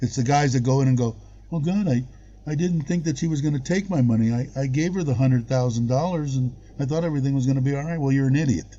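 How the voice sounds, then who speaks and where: With an American accent, a man talks very fast in a fairly high, somewhat breathy voice. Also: ordinary pitch variation. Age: 60s. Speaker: expat living in Thailand, live-stream host. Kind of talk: casual chat on a live stream.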